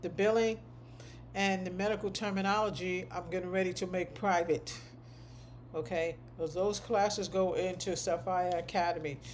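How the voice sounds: Fairly even intonation at a moderate pace. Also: woman.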